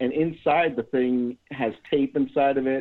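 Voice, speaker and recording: A man's ordinary speaking voice at medium pitch, with fairly even intonation. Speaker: caller. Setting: phone call.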